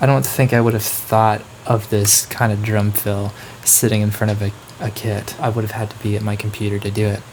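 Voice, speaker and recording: A quiet man's voice, fairly low in pitch, with fairly even intonation at a fairly quick pace over light background noise. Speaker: musician and producer explaining own song. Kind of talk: casual tutorial breakdown. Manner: lowered voice, a bit quieter. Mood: relaxed, playful. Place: home room.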